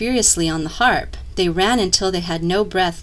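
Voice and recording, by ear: Natural-voiced reading aloud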